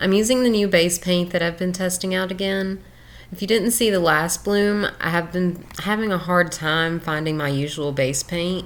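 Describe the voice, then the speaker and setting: With a Southern US accent, a woman talks at medium pitch using ordinary pitch variation. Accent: southern drawl. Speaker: fluid art creator. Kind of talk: tutorial. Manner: casual.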